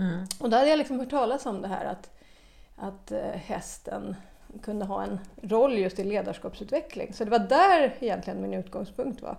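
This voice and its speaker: This woman's pitch is medium, with ordinary variation. She talks at a moderate pace. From Stockholm, Sweden. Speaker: equine-assisted learning entrepreneur. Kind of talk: interview. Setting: on location at guest's farm.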